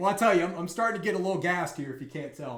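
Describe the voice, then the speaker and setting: A man talks with lively intonation. The room echo is audible. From US South. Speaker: bug bounty hunter streamer. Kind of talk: live stream tutorial. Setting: live stream. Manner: casual, hesitant with fillers.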